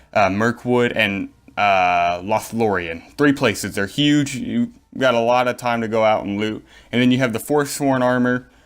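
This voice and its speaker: Against a silent background in a very clean recording, the pitch moves by a normal amount. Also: man, medium pitch for a man. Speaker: gaming YouTuber. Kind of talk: gaming tutorial. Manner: fast; casual, filler-heavy.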